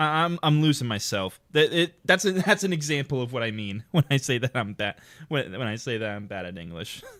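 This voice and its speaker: A man with an American accent, very wide pitch swings and a fairly quick pace, on a very clean recording with a silent background. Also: medium pitch for a man. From Ohio, US Midwest. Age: 20s. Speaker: game streamer. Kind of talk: casual live-stream commentary. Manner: halting, self-correcting.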